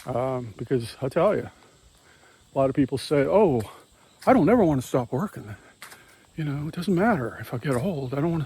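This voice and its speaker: A somewhat breathy man talks at a fairly quick pace with a fairly high pitch and lively intonation. Long, frequent pauses break up his speech. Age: 60s. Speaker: magazine publisher and artist vlogger. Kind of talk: casual vlog monologue. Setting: outdoors. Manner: hesitant, many fillers.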